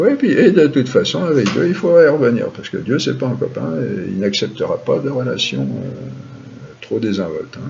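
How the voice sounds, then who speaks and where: A man is speaking. Noticeable background noise and audible room echo surround his voice. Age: 60s. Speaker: spiritual and philosophy teacher. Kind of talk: lecture. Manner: halting.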